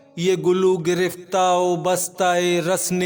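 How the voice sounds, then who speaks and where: A high-pitched male voice over music in the background. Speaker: voice-over artist. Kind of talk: poetry reading.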